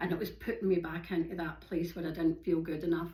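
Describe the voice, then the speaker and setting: In a Glaswegian accent, a woman speaks at a fairly low pitch with monotone, flat intonation and audible room echo. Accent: Glaswegian Scottish. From Scotland, Glasgow. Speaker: yoga and hiking vlogger. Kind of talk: casual monologue. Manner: fast.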